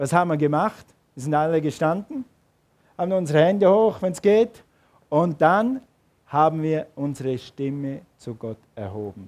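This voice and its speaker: This man talks at a moderate pace in a fairly high pitch, his intonation lively. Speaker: pastor. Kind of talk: sermon. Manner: animated.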